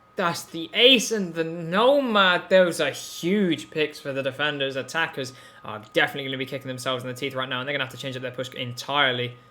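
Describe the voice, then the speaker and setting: A man at a very fast pace with hardly any pauses, fairly high pitch, ordinary pitch variation, and big swings in loudness, over noticeable background noise. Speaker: esports caster. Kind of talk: live commentary. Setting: live stream. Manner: animated.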